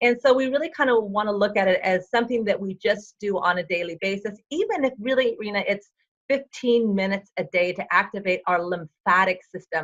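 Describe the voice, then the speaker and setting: With a normal speaking voice, a woman talks fairly quickly at a medium pitch with ordinary pitch variation and hardly any pauses. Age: 60s. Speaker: fitness and health coach. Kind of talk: interview.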